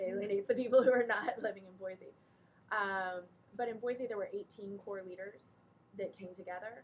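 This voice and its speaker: A woman's normal speaking voice with an American accent, at medium pitch, with fairly even intonation and a fairly quick pace. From Texas. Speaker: nonprofit director. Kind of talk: talk to a small group.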